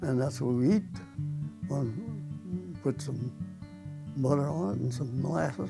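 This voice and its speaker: Music plays in the background while a man speaks in a rural Missouri accent. His pace is moderate and his pitch medium. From Osage County, Missouri, USA. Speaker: World War II veteran and former farmer. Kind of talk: oral history interview answer.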